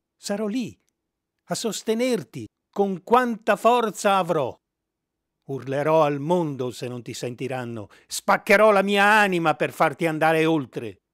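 A high-pitched man at a fairly slow pace, long, frequent pauses, very wide pitch swings and big swings in loudness, on a very clean recording with a silent background and a dry, close sound with no echo. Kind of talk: poem read aloud. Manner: tender, earnest, slow and measured.

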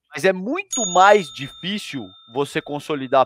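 Pitched high, a man talks with lively intonation in a dry recording with no echo. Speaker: co-host commentator. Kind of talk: casual heated commentary. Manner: informal, indignant, hesitant with repetitions. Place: home room. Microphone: headset.

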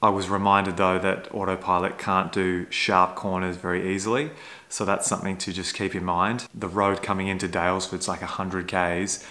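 A man talks fairly quickly at a very deep, low pitch. His tone is bright and sharp, his intonation flat and monotone. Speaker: electric car vlogger. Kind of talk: casual vlog chat. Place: home room. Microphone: phone near.

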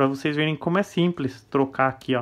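A man talks at a fairly quick pace. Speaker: toy collector and YouTuber. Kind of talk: product review. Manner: casual, enthusiastic.

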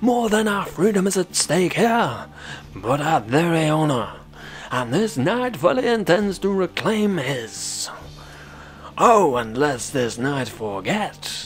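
This put-on character voice swings very widely in pitch at a fairly slow pace, with clear background noise behind it. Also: man, high pitch for a man. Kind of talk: mock-chivalric speech. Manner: grandiose, earnest, courtly.

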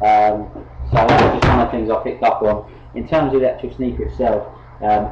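Loud background noise surrounds a man as he talks at a fairly quick pace. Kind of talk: casual product review vlog. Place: home room. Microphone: webcam.

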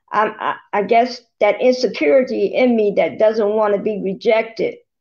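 Over a quiet background, a woman speaks fairly slowly at a fairly high pitch with ordinary pitch variation. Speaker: church member in book club. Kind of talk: casual group discussion. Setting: video call. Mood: hesitant, self-reflective. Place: home room. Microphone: video call.

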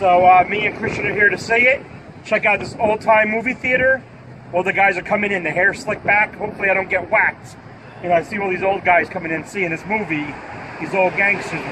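Against noticeable background noise, a man speaks at a high pitch. His pace is very fast and his intonation fairly even. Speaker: vlogger. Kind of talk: casual vlog chat. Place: street. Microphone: phone near.

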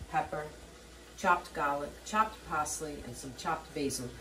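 A woman talks over loud background noise. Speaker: home cook host. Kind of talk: cooking tutorial. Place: kitchen. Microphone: camera far.

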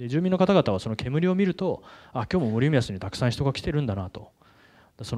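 A man's dark, mellow tone with lively intonation at a very fast pace, against a quiet background. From Tokyo, Japan. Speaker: nonprofit director; speaker. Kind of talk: conference talk. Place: hall. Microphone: handheld.

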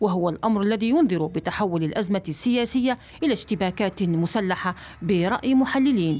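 A woman with a plain, everyday voice speaks at medium pitch and a moderate pace. Her intonation is lively while her loudness stays very even. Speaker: news reporter. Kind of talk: news report narration. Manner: formal.

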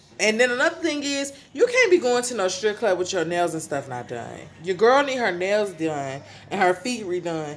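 A woman's pitch swings very widely as she talks at a moderate speed. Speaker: vlogger. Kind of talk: casual vlog chat. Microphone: phone near.

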